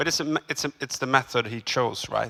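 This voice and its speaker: Speaking with a Swedish accent, a man uses fairly even intonation and a bright, sharp tone. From Sweden. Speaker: cinematographer. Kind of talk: seminar talk. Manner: halting.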